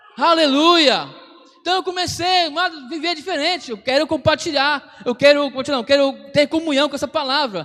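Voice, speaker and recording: Over noticeable background noise, a man with an extremely high pitch talks at a moderate pace with ordinary pitch variation. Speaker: pastor. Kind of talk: sermon.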